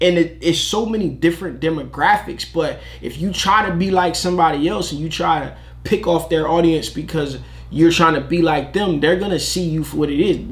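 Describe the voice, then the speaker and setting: An animated man at a fairly quick pace, with audible room echo and noticeable background noise. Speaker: t-shirt business youtuber. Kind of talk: reaction video commentary. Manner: loud.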